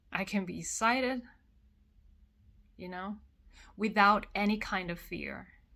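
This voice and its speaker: A woman's bright, sharp voice with a Korean accent and vocal fry, fairly slow and fairly even, with long, frequent pauses and big swings in loudness. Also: medium pitch for a woman. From South Korea. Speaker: vlogger. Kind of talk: personal vlog monologue.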